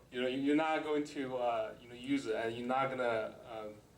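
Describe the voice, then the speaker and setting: A man with a Chinese accent, medium-pitched, at a moderate pace, fairly even intonation, some audible room echo. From China. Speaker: government employee, panelist. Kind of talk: personal story talk on panel. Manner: halting, many fillers.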